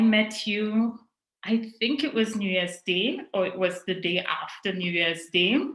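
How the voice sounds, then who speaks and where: A woman with a Trinidadian accent talks with fairly even intonation. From Trinidad and Tobago. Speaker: coaching client, project manager. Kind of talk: testimonial interview.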